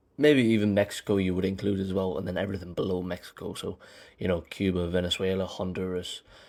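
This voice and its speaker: In a very clean recording with a silent background, a man with a British accent talks at a fairly quick pace in a very deep, low voice. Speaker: film commentary YouTuber. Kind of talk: scripted commentary monologue. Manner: hesitant, with fillers and repetitions.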